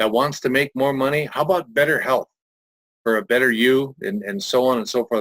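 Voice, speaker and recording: With a normal speaking voice, a man at medium pitch talks at a fairly quick pace in a dry, close sound with no echo. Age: 60s. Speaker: network marketing presenter. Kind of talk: sales pitch. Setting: webinar.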